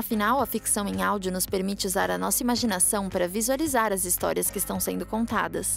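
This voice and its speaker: Music plays behind a woman who speaks at a fairly quick pace. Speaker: voice actor. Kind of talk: informative podcast narration.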